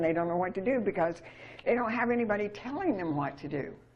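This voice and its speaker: Over noticeable background noise, a woman with an American accent sounds animated, speaking at a medium pitch with very wide pitch swings. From Utah. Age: 70s. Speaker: speaker on money and sovereignty. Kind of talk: casual chat.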